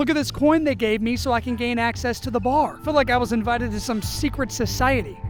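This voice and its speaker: A man speaks at an extremely high pitch while music plays in the background. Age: 20s. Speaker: travel vlogger. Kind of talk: vlog narration. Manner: whispering at times.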